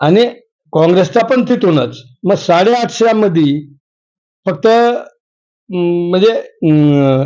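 A man speaks in a high pitch with a dark, mellow tone. His intonation is lively and his loudness stays very even. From Maharashtra, Latur district (Renapur). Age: 50s. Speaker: local politician. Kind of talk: interview.

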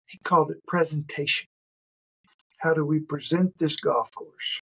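A man with an American accent speaks in a flat, monotone way, his voice somewhat breathy against a quiet background. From Arkansas, US South. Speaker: turfgrass professor. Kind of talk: interview. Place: office. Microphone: video call.

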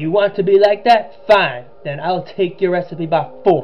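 Putting on a character voice, a man speaks high and gruff at a moderate pace while music plays in the background. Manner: bad, gruff imitation.

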